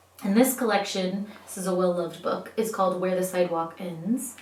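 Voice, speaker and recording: Over noticeable background noise, a woman with a medium pitch talks at a moderate pace in an upbeat tone. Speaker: teacher. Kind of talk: casual talk to young students. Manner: friendly, upbeat.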